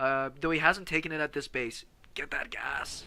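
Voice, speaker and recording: A man's bright, sharp tone on a very clean recording with a silent background. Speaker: game caster. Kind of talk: live commentary.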